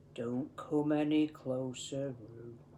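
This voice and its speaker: This is a put-on character voice with a low-to-middle pitch. Clear background noise sits behind it. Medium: read story.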